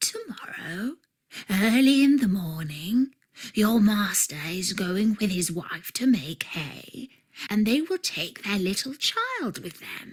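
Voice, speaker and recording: A woman's put-on character voice at medium pitch and a fairly slow pace. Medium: read story.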